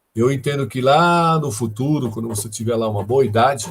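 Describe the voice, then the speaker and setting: The pace is fairly slow, with ordinary pitch variation. The voice sounds somewhat breathy. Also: man. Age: 60s. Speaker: professor, data science lecturer. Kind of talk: live online lecture Q&A. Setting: live stream. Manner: conversational, many fillers.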